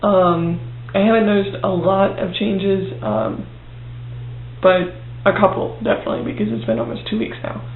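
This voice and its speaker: A quiet, high male voice at a moderate pace, with very wide pitch swings, long, frequent pauses, audible room echo and noticeable background noise. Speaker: video blogger. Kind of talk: video diary. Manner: hesitant, many fillers.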